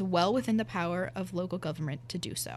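Talking at a very fast pace, a woman with an American accent and vocal fry swings her fairly low pitch very widely on a very clean recording with a silent background. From rural Pennsylvania. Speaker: university student. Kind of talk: reading aloud.

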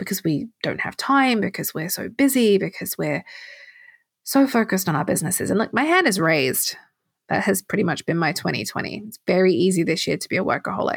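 A woman with an English accent talks at a fairly quick pace in a medium pitch with very wide pitch swings. The recording is very clean and silent behind her, with a dry, close sound and no echo. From England. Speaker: podcast host. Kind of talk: solo podcast monologue.

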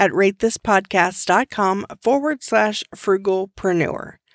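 A woman with an ordinary speaking voice talks at a medium pitch and a fairly slow pace, her intonation lively. The sound is dry and close with no echo. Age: 30s. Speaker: podcast host. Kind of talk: scripted outro. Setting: video call.

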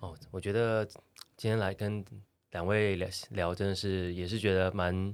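On a very clean recording with a silent background, a man with a very deep, low pitch speaks in a monotone, flat way with long, frequent pauses. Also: fairly slow pace. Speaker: coffee roaster and café owner. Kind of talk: casual chat. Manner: steady, storyteller-like delivery.

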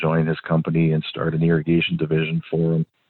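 A man with a very deep, low voice and an American accent talks at a fairly quick pace. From Minnesota, US Upper Midwest. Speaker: landscaping company manager and drone pilot. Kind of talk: casual interview.

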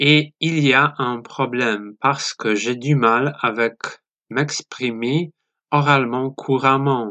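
Very slowly and with a Polish accent, a man speaks at medium pitch in a bright, sharp tone. His intonation is fairly even, and the sound is dry and close with no echo. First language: Polish (speaking French). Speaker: listener, French learner. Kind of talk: recorded voice message.

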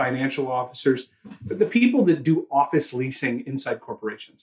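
A man with a Canadian accent speaks at a moderate pace. His voice is somewhat breathy and his intonation lively. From Toronto, Canada. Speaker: sales training CEO. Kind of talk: interview conversation.

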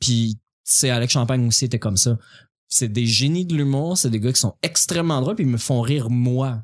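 A man speaks at a medium pitch and a moderate pace with very even loudness, in a dry, close sound with no echo. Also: ordinary pitch variation, very clean recording, silent background. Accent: Quebec. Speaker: stand-up comedian. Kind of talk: casual chat.

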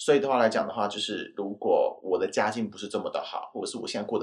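A man rushes through his words at a very fast pace, the background around him quiet. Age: 30s. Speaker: guest sharing job-hunting experience. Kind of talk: casual chat.

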